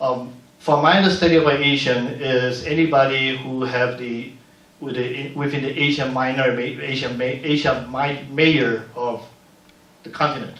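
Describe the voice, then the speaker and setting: A man with fairly even intonation, audible room echo and noticeable background noise. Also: medium pitch for a man, moderate pace. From Panama. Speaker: community leader and filmmaker. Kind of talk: panel discussion. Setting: museum panel event.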